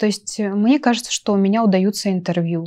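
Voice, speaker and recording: Her tone dark and mellow, a woman speaks at a moderate pace with fairly even intonation. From Russian Far East, Nakhodka (Primorye); Russian Far East. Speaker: journalist and photographer, university lecturer; journalist, university lecturer. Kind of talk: talk show interview. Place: studio. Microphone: lapel.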